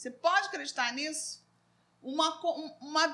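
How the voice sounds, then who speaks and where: Projecting a raised voice, a woman speaks high with a bright, sharp tone and ordinary pitch variation. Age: 50s. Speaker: psychologist and Sunday school teacher. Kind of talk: Bible class discussion. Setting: live stream.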